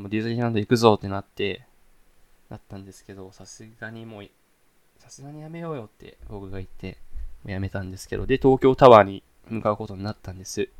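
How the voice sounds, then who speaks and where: A man talks at a very fast pace in a fairly low voice. His loudness swings widely. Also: ordinary pitch variation. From Saitama, Japan. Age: young. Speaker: podcast host, university student. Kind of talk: casual solo talk. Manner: fast, run-on.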